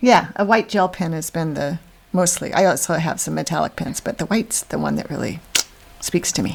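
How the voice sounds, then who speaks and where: A woman at a fairly low pitch and a fairly quick pace, with ordinary pitch variation. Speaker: podcast co-host, professional organizer. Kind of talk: casual podcast conversation. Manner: fast.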